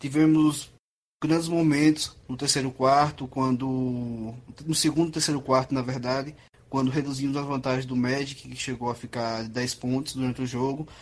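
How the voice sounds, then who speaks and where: This man's voice sits fairly high. He keeps a moderate pace and ordinary pitch variation. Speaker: podcast co-host. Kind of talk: casual chat.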